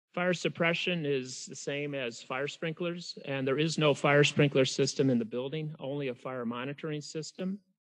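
Against a quiet background, a man with an unremarkable speaking voice talks at a fairly high pitch and moderate pace, using ordinary pitch variation. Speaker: architectural consultant. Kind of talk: presentation to county board. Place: hall.

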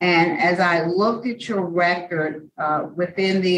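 Very slowly, a woman speaks with a fairly low pitch. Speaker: parole board member. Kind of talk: formal hearing. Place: meeting room. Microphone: video call.

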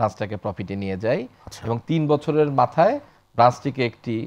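A man speaks at medium pitch with lively intonation. His is an unremarkable speaking voice. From Bangladesh. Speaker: bank executive; guest. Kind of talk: interview. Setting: studio. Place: studio. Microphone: lapel.

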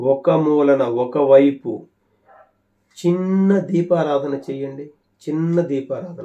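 A man with a fairly high pitch speaks in a plain, everyday voice, intonation fairly even. The background is quiet. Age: 50s. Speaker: farming YouTuber. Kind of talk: monologue to camera. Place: home room. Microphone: phone near.

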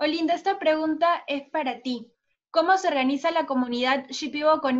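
This woman talks at a moderate pace. The rise and fall of her pitch is ordinary. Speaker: event moderator. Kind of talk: moderated webinar. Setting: video call. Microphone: video call.

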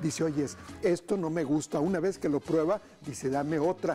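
Faint music in the background behind a man talking at a moderate pace. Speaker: TV cooking show host. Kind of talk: energetic TV presenter talk. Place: studio. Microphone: lapel.

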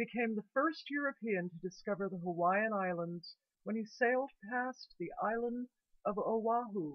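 Against a quiet background, a woman speaks at a fairly slow pace. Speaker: video journal host. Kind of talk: history commentary. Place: home room. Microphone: webcam.

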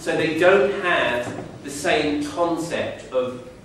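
With strong room echo and light background noise, a man speaks with ordinary pitch variation. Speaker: speaker. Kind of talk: public talk.

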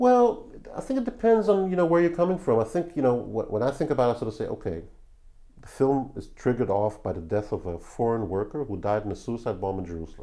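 Racing at a very fast pace, a man with an Israeli accent and a medium-pitched, dark, mellow voice swings very widely in pitch, with big swings in loudness. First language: Hebrew. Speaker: film director. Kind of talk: interview.

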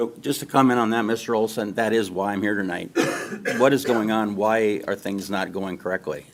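This is an ordinary speaking voice from a man, fairly low in pitch. He talks at a fairly quick pace with fairly even intonation. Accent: American. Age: 60s. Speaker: farmer speaking at public comment. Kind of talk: public comment at school board meeting.

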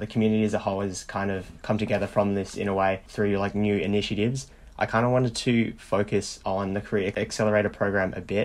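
A man with an Australian accent and fairly low pitch, talking at a very fast pace with hardly any pauses. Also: very clean recording, silent background. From regional Australia. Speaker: student podcast host. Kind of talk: casual interview. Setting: podcast recording.

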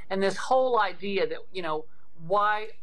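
This voice belongs to a woman. She talks at a medium pitch. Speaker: state legislator. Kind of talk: interview answer. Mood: earnest, indignant. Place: home room. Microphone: video call.

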